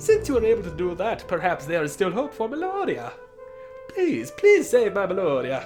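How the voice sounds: Over clear music in the background, someone puts on a character voice at a fairly high pitch and a moderate pace.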